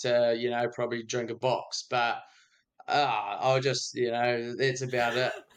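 Speaking in a New Zealand accent, a man keeps a moderate pace. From New Zealand, Dunedin. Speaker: music producer. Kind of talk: casual chat.

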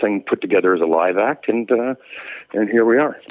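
This is a man speaking with a Western Canadian accent. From British Columbia, Canada (Victoria). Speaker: rock musician, singer. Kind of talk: interview chat. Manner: halting, repetitive fillers.

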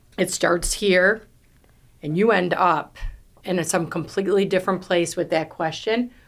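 A woman with a New York accent speaks at a fairly slow pace, her medium pitch carried by fairly even intonation. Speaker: real estate team leader. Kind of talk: podcast interview. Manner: loud.

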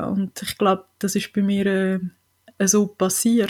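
In a very clean recording with a silent background, the woman's voice sits at a medium pitch. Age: 40s. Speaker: patient advocate. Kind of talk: interview.

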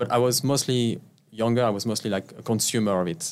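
Speaking very fast with a French accent, a man keeps a medium pitch and fairly even intonation. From France. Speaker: tech executive. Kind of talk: interview.

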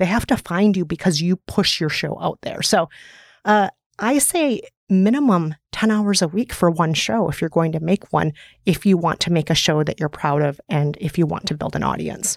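Speaking at a moderate pace with lively intonation, a woman with an Upper Midwest accent has a fairly low pitch in a very clean recording with a silent background. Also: dry, close sound with no echo. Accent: upper Midwest American. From US upper Midwest. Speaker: podcast host and author. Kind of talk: interview.

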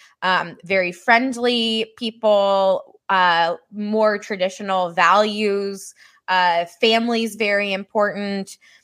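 A woman with a Midwestern American accent speaks at a very slow pace and medium pitch with fairly even intonation, in a very clean recording with a silent background. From US Midwest, Missouri. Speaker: marketing agency founder. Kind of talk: interview on a live stream.

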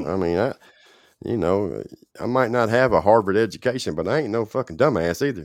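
Against a quiet background, a man with a normal speaking voice and a fairly low pitch talks at a fairly quick pace with lively intonation. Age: 40s. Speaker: livestream host in addiction recovery. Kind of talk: casual live-stream chat. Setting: live stream with viewers.

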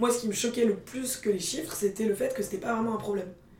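A woman talks with noticeable background noise beneath her. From Paris, France. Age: 20s. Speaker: startup co-founder. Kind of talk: interview. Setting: company office. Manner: energetic.

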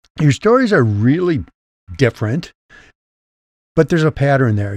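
A somewhat breathy man's voice with lively intonation. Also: dry, close sound with no echo. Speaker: podcast host. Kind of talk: scripted intro then interview.

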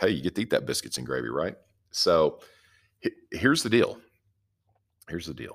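Loudness swings widely as a man in a Southern US accent talks with long, frequent pauses. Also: fairly quick pace. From US South. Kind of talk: devotional teaching. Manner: casual, folksy.

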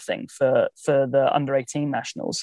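A man with a southern English accent, in a dry, close sound with no echo. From southern England, Southampton. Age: 30s. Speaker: tennis coach. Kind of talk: interview conversation. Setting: in a car.

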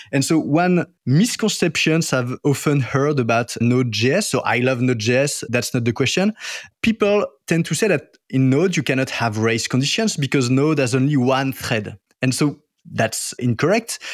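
A man's lively intonation in a French accent, with very even loudness. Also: moderate pace, very clean recording, silent background. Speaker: podcast host. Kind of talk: casual interview chat.

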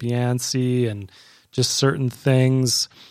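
With a Canadian accent and an ordinary speaking voice, a man of medium pitch talks at a fairly slow pace in a very clean recording with a silent background. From Canada. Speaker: registered nurse. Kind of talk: personal testimony in casual interview. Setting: studio.

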